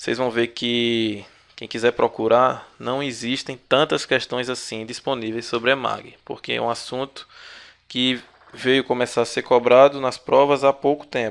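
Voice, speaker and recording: Speaking at a fairly slow pace, a man keeps a medium pitch and monotone, flat intonation. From Brazil, Paraíba (Northeast). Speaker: exam-prep instructor. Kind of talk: online video lecture. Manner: filler-heavy, hesitant.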